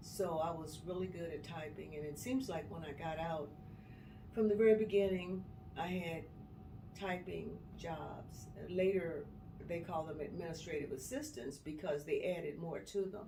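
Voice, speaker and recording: In an American accent, a woman speaks at a moderate pace in a fairly low pitch with ordinary pitch variation. Audible room echo and noticeable background noise fill the recording. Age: 70s. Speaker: retired HR worker. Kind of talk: life story interview.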